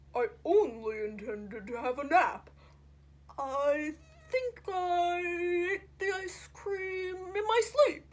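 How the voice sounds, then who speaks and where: A woman uses a put-on character voice with an extremely high pitch. She speaks at a very slow pace with very wide pitch swings. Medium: read story. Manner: polite, formal, unhurried.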